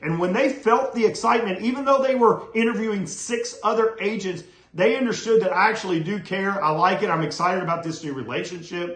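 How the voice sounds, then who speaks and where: A man's high-pitched, energetic voice at a fairly quick pace, with ordinary pitch variation and hardly any pauses, amid noticeable background noise and audible room echo. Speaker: real estate coach. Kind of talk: motivational talk to camera. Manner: fast when excited.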